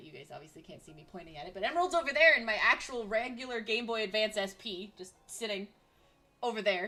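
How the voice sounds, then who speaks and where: Noticeable background noise runs under this woman's voice. She talks at a fairly quick pace with an animated tone. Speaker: vtuber streamer. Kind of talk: casual gameplay stream chat. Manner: loud, ranting.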